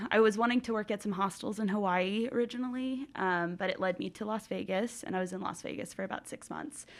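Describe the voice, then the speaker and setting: A woman with an American accent speaks at a fairly quick pace, barely pausing. Her pitch sits in a medium range and varies in an ordinary way. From Colorado, US (Denver). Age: 20s. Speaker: hostel worker. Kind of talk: interview. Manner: halting, many fillers and restarts.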